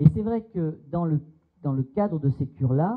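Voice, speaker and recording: Against a quiet background, a man with a fairly high pitch speaks somewhat breathily at a fairly slow pace, with ordinary pitch variation. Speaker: psychoanalyst; seminar lecturer. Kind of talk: seminar talk. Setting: seminar room with audience. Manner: hesitant, many fillers. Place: hall. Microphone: handheld.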